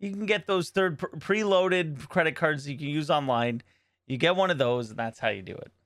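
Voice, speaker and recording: A man in a normal speaking voice talks at a fairly quick pace and a fairly high pitch, with lively intonation and big swings in loudness, on a very clean recording with a silent background. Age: 40s. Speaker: podcast co-host and streamer. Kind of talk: casual chat.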